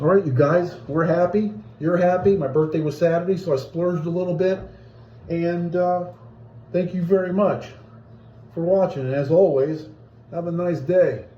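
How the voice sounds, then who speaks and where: Audible room echo surrounds a man with a high pitch and a dark, mellow tone, who speaks at a moderate pace with ordinary pitch variation and long, frequent pauses. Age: 60s. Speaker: hobbyist video blogger. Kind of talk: casual unboxing video. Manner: casual, halting.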